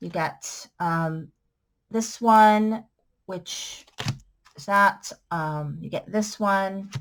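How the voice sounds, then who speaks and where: A woman at a very slow pace with ordinary pitch variation, over noticeable background noise. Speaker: crafter selling supplies. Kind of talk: sales pitch. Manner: casual, with fillers.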